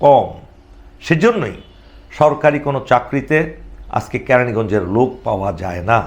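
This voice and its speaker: The man has a plain, everyday voice at a medium pitch. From Bangladesh, Keraniganj near Dhaka. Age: 60s. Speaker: retired army officer and political aspirant. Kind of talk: political address to constituents.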